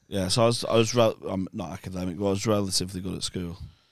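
In a plain, everyday voice, a man speaks fairly quickly, his fairly low pitch held in fairly even intonation. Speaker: comedian. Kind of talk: casual banter.

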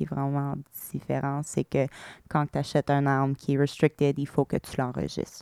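In an English accent, a woman speaks with a very deep, low pitch and flat, monotone intonation. The sound is dry and close, with no echo. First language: English (speaking French). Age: 30s. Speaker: shooting survivor. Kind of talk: testimony. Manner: hesitant, frequent fillers.

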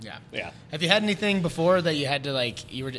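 A man with an upstate New York accent and lively intonation. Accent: upstate New York American. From upstate New York, Baldwinsville. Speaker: podcast co-host. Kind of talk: casual chat. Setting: on location in a brewery.

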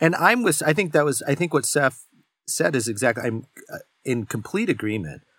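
At a moderate pace, a man with a fairly high pitch talks in an ordinary speaking voice. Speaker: podcast host and editor. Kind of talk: casual discussion. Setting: remote recording.

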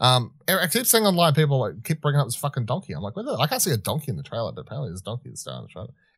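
On a very clean recording with a silent background, a man with an Australian accent talks at a very fast pace, his fairly high pitch showing very wide pitch swings and vocal fry. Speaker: podcast co-host. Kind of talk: casual discussion.

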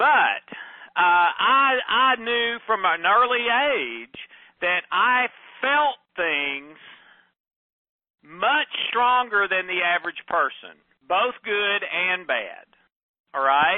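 A loud, high-pitched male voice at a very slow pace, with lively intonation and long, frequent pauses. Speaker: podcast host. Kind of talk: personal monologue. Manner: halting.

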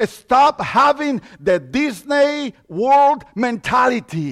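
Speaking very slowly in an extremely high voice with ordinary pitch variation, a man with a Mexican accent comes across dry and close, with no echo. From Mexico. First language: Spanish. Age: 50s. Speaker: lay preacher. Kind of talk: sermon. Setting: church.

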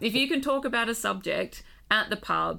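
A woman with an Australian accent has a bright, sharp tone. Vocal fry runs through her voice. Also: very clean recording, silent background. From Western Australia. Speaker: museum curator, paleontologist. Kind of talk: casual chat. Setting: studio at a university.

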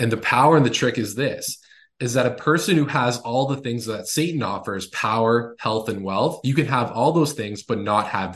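Over a quiet background, a man with a plain, everyday voice speaks at a moderate pace and medium pitch, with ordinary pitch variation. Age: 30s. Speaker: author and former athlete. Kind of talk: casual chat.

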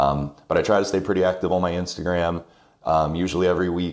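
A man with an American accent speaks in a very deep, low pitch at a fairly quick pace. His intonation stays monotone and flat. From South Carolina Midlands (Irmo). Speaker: wedding venue owner and former teacher. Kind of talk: casual interview chat.

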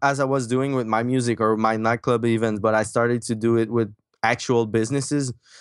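A man speaks in a Quebec accent with monotone, flat intonation. The sound is dry and close with no echo, and the background is quiet. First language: French. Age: 20s. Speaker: marketing entrepreneur and author. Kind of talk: casual interview. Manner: halting, many fillers.

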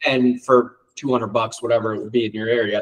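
An unremarkable speaking voice with an American accent moves at a moderate pace. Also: man. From Ohio, US Midwest. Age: 30s. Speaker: auto body and dent repair shop owner. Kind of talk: casual interview chat.

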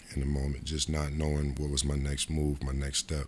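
Somewhat breathy, a man with an American accent talks at a fairly quick pace in a very deep, low pitch with monotone, flat intonation. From upstate New York (Rochester). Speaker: former professional basketball player. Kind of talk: casual interview. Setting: in person.

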